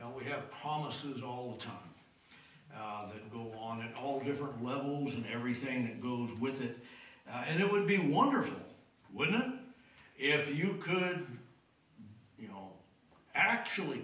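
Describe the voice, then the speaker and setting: Amid audible room echo, a man speaks at a fairly slow pace with long, frequent pauses and big swings in loudness. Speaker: preacher. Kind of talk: sermon. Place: church. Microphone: podium.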